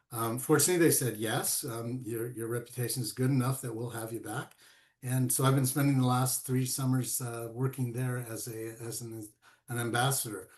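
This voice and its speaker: This man talks at a medium pitch and a moderate pace. His voice is somewhat breathy, with fairly even intonation. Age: 70s. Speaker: golf course ambassador and college instructor. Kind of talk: interview conversation. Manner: halting, with many fillers and repeats.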